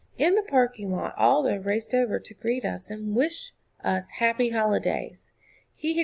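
The clip captures reading aloud in a natural voice.

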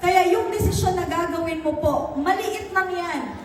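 Extremely high in pitch, a woman speaks at a fairly slow pace, with audible room echo and noticeable background noise. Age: 30s. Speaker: business mentor. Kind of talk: motivational talk.

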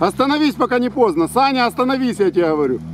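Light background noise and a dry sound with no echo surround a man whose pitch swings very widely. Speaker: off-road vlogger filming. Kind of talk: excited joking commentary. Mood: teasing, mock dismay. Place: open country. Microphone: phone near.

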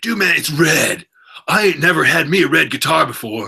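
A man does a put-on character voice at a high pitch and a moderate pace. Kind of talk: casual slang. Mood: amused, joking.

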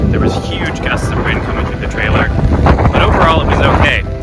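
Loud music plays in the background of a dry sound with no echo. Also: man. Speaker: RV travel vlogger. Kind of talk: casual vlog chat. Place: open country. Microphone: phone near.

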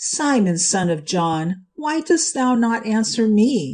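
A shaky, female-sounding put-on character voice, fairly high and fairly slow, with very wide pitch swings over a quiet background. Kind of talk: archaic, biblical. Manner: trembling with emotion.

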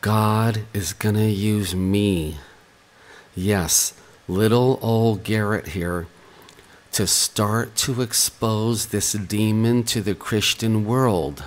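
A quiet voice at a very slow pace with fairly even intonation. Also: man, fairly low pitch for a man. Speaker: online preacher. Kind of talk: religious video message. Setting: at home. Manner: quiet, hushed.

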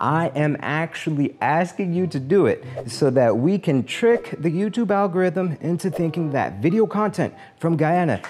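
A man's voice with faint music in the background. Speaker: channel host. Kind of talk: comedic explainer commentary. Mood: humorous, playful. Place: home room. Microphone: lapel.

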